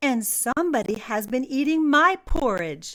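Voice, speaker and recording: A woman growls in a put-on character voice, pitched high with very wide swings. She speaks at a moderate pace. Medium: read story. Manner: cross, grumbling.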